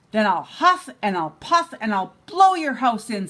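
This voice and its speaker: This is a put-on character voice with a growling quality. It moves at a moderate pace with very wide pitch swings. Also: woman, fairly high pitch for a woman. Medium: read story. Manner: sly, scheming.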